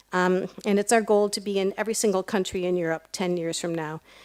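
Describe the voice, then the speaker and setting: In an American accent, a woman talks at a medium pitch with monotone, flat intonation. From United States. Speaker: nonprofit program leader. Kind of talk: ceremony speech.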